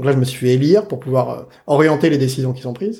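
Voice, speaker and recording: Speaking at a very fast pace, a man with a fairly high pitch, a dark, mellow tone and some breathiness uses ordinary pitch variation. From France, Saint-Denis (Paris suburbs). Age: 30s. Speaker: innovation consultant. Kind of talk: interview.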